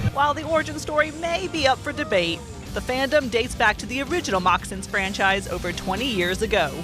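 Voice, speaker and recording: Talking very fast over music in the background, a woman uses a fairly high voice with very wide pitch swings. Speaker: sports reporter and anchor. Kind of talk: sports news feature narration.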